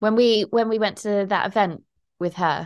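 A woman talks at a moderate pace, the background around her quiet. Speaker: podcast host. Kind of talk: casual chat.

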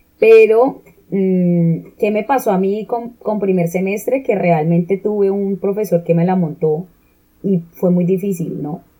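A woman talks at a very slow pace. Her pitch sits in the medium range with ordinary variation. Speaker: podcast co-host. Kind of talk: casual chat.

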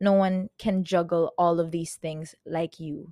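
A woman with a Filipino accent speaks in an animated tone at a fairly low pitch, on a very clean, dry, close recording with no echo and a silent background. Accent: Filipino English, code-switching with Tagalog. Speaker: podcaster. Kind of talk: pep talk, self-directed motivational monologue. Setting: recorded at home on a yoga mat. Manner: animated, emphatic, fiery, hyping herself up with swearing and repetition; casual, chatty, like a friend on a call.

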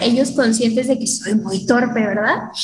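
A woman talks in a high voice, with audible room echo and noticeable background noise around her. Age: 20s. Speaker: theater student. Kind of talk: casual chat. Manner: animated.

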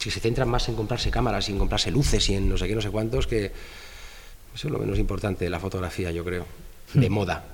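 At a fairly quick pace, a man talks with audible room echo. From Spain, Madrid. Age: 40s. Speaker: fashion photographer. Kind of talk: casual interview.

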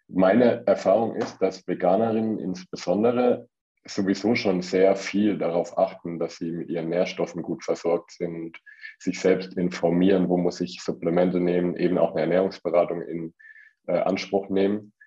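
A man's very deep, low voice with a dark, mellow tone, fairly even intonation and a moderate pace. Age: 30s. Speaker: vegan nutrition consultant. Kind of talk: interview.

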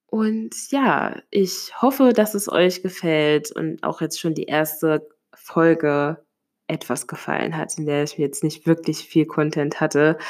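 A woman's very deep, low voice with ordinary pitch variation, very slow in pace, on a very clean recording with a silent background. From Hesse, Germany (near Limburg an der Lahn). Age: 20s. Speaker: podcaster. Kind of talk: solo podcast monologue. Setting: home, sitting on living room floor.

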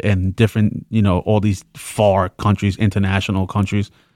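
The recording is very clean, with a silent background and a dry, close sound with no echo. A man with a New York accent speaks at a fairly low pitch. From New York, the Bronx. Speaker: podcast co-host. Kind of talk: casual chat.

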